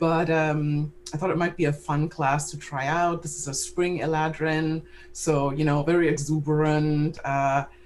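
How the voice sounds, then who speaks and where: A woman with a very deep, low pitch speaks with a non-native accent. Her intonation is monotone and flat, her pace fairly slow. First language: not English. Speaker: tabletop game player. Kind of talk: casual chat.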